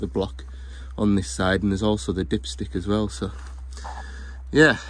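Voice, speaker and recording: A man's voice comes out somewhat breathy at a moderate pace. His pitch moves in very wide swings. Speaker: plant mechanic. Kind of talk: vlog narration while working. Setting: outdoors on site. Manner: casual.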